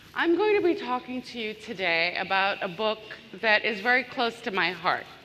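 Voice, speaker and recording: Over noticeable background noise, a woman with a fairly high pitch speaks at a moderate pace, her tone animated and her intonation lively. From Bangladesh. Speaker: business consultant and author. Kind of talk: conference keynote talk. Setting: stage with audience, large room. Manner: animated, engaging the audience.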